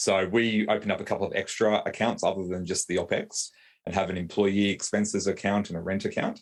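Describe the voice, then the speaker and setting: Very fast speech from a man with an Australian accent, very clean recording, silent background. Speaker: lawyer and business owner. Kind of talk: interview. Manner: hesitant, many fillers and repeats.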